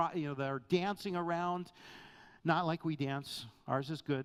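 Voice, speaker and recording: A man with an unremarkable speaking voice talks at a fairly high pitch and a fairly slow pace with ordinary pitch variation, on a very clean recording with a silent background. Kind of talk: sermon or Bible teaching to a congregation. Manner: casual, conversational.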